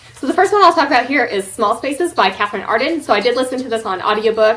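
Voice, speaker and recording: A woman's high-pitched voice moves through very wide pitch swings. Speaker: book reviewer. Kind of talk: casual vlog chat. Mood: light, laughing. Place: home room.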